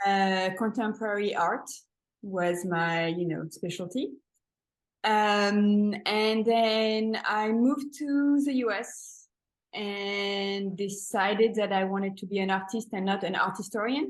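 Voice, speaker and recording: A woman with a French accent, medium in pitch with ordinary pitch variation, at a very slow pace against a quiet background. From France, Paris. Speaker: painter and art teacher. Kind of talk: interview. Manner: halting.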